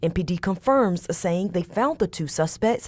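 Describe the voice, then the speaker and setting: A woman talks at a moderate pace with very wide pitch swings, recorded very cleanly against a silent background. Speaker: news reporter. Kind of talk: TV news package narration.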